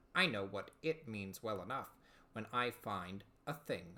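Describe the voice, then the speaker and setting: Putting on a character voice, a man speaks at a fairly slow pace in a fairly low pitch. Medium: read story. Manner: blunt, matter-of-fact.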